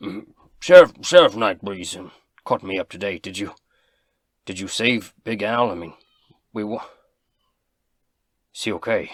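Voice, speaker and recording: A man's raspy put-on character voice, fairly low in pitch, at a moderate pace with big swings in loudness and long, frequent pauses, on a very clean recording with a silent background. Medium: actual play. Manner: stammering, hesitant.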